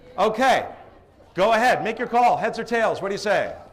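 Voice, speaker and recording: A man at a moderate pace with an American accent, over noticeable background noise. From Boston, Massachusetts area. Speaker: professional live auctioneer and event emcee. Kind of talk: live event emcee running a crowd game. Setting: hotel ballroom with a crowd.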